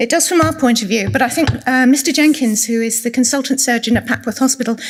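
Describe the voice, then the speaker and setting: In an English accent, a woman with a high voice speaks with ordinary pitch variation. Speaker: clinical nurse specialist giving a talk. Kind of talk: presentation to patient audience. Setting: room with live audience. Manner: soft-spoken.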